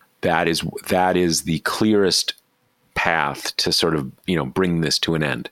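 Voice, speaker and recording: This man's very deep, low voice carries vocal fry. He talks at a fairly slow pace with very even loudness. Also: dry, close sound with no echo. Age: 50s. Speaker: podcast host and news site founder. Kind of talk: casual political discussion.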